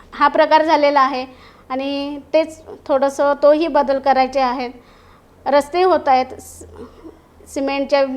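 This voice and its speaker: A woman's high voice with monotone, flat intonation. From Maharashtra, Satara. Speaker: parliamentary candidate. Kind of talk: interview. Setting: studio.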